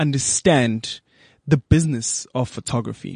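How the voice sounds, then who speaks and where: Heard in a dry, close sound with no echo, a man with an unremarkable speaking voice talks at a moderate pace with ordinary pitch variation. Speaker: radio host. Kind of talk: casual interview chat.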